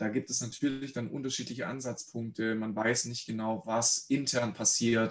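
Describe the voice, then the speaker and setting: This is a man with a normal speaking voice and medium pitch. He talks at a moderate pace with fairly even intonation. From Swabia, Germany (Reutlingen). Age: 30s. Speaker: mental coach, former pro footballer. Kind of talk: casual interview.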